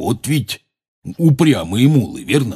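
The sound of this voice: In a put-on character voice, a man speaks slowly at medium pitch with a husky, rough edge, a dark, mellow tone and big pitch swings, on a very clean recording with a silent background.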